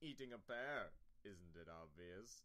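At a fairly slow pace, a man performs a put-on character voice pitched fairly low. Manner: haughty.

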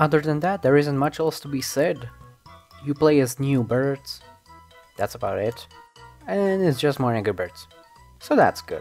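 With music in the background, a man with a fairly high pitch and lively intonation talks at a moderate pace, leaving long, frequent pauses. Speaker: video game commentator. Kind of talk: casual video game commentary voice-over. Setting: low-quality home microphone recording. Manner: stuttering; unscripted, rambling.

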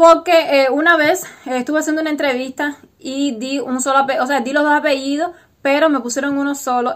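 A woman's high voice at a moderate pace, fairly even in intonation, over a quiet background. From Cuba. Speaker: vlogger. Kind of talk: casual vlog monologue. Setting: home recording with wind noise. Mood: relaxed, chatty. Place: home room. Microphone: webcam.

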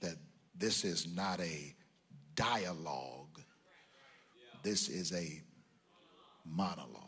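Very deep and low, a man's voice carries vocal fry and ordinary pitch variation. He talks at a very slow pace with long, frequent pauses. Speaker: preacher. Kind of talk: sermon. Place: church. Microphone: handheld.

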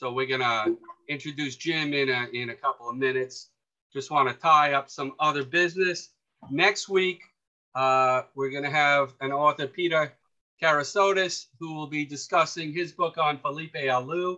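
At a moderate pace and fairly high pitch, a man speaks in a bright, sharp tone with ordinary pitch variation over a quiet background. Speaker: fan club meeting host. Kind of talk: casual meeting moderation. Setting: video call. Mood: relaxed, friendly. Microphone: video call.

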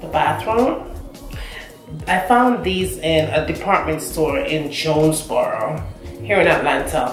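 Faint music plays behind a woman whose voice carries audible room echo. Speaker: home decor vlogger. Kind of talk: casual vlog chat. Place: bathroom. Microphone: camera far.

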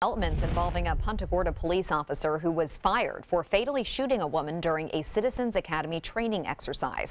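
A woman with a fairly low pitch talks at a very fast pace with hardly any pauses and lively intonation, over light background noise. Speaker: news anchor. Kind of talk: news reading. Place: studio. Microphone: lapel.

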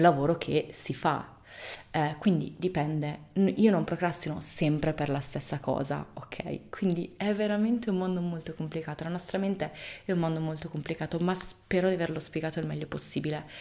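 A woman with a very deep, low pitch talks at a moderate speed, her intonation fairly even. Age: 30s. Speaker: video blogger. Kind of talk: casual monologue to camera. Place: home room.

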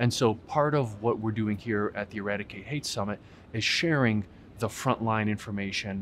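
Over light background noise, a man talks at a fairly low pitch. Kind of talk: interview answer. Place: hall.

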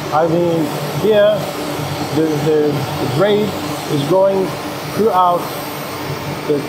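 Clear background noise sits under a man's voice, whose pitch moves in a normal way. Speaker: factory staff guide. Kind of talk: factory tour explanation. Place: factory.

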